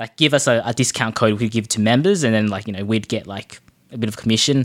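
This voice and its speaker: This very clean recording has a silent background. In it, a man talks with an Australian accent. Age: 20s. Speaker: online community founder. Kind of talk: casual chat.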